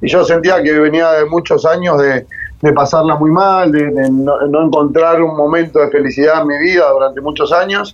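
Noticeable background noise sits behind a man with a fairly high pitch. He speaks at a moderate pace with fairly even intonation and very even loudness. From Argentina, Buenos Aires area (San Martín). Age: 30s. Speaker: rugby coach for prisoners, former inmate. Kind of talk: interview testimony.

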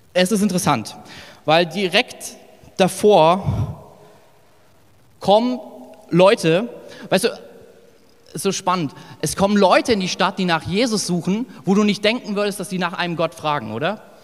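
A man's high-pitched, animated voice with a slight northern Hessian accent, at a fairly slow pace broken by long, frequent pauses. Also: ordinary pitch variation. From northern Hesse, Germany. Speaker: pastor. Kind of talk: sermon. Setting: church service with live audience. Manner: casual, animated.

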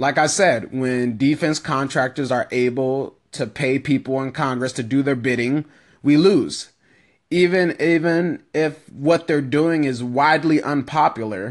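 A man with an ordinary speaking voice, fairly high in pitch with ordinary variation, at a fairly slow pace against a quiet background. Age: 20s. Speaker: political podcast host. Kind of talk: solo political commentary. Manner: casual, conversational.

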